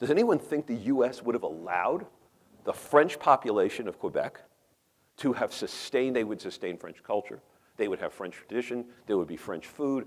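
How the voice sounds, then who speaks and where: Speaking with a New York accent at a fairly quick pace, a man of medium pitch sounds animated, with lively intonation. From New York metropolitan area. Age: 50s. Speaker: professor and urban policy researcher. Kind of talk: conference talk. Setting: conference room, small audience. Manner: animated, conversational.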